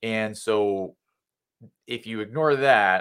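A man talks with an American accent in an ordinary speaking voice, pitched fairly low. His intonation stays fairly even in a very clean recording with a silent background. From New Jersey. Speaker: physician and health researcher. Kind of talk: interview explaining health science.

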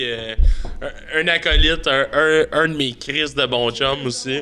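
A man's fairly high pitch and fairly even intonation come across through noticeable background noise. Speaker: podcast host. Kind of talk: casual chat.

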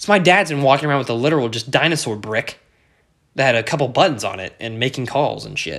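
Talking at a very fast pace, a man sounds animated, with lively intonation and vocal fry. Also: medium pitch for a man. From Kansas, US. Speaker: podcast host, college student. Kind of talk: casual solo monologue.

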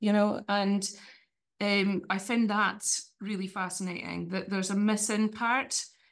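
A woman speaks in a medium-pitched voice with a Shetland accent. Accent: Shetland Scottish. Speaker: fiddle player and music lecturer. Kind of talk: casual interview. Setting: video call.

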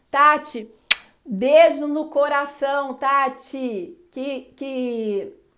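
The woman talks in an animated tone. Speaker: live-stream host and behavioral coach. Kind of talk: casual live-stream chat. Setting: Instagram live stream.

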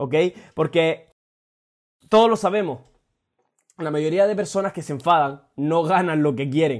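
A man at a fairly slow pace, fairly high in pitch, with ordinary pitch variation and long, frequent pauses. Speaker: motivational podcaster. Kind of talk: motivational monologue. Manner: casual, frequent swearing.

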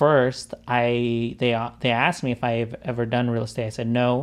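Against a quiet background, a man speaks at a moderate pace in a plain, everyday voice. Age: 30s. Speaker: podcast host and videographer. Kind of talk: casual chat.

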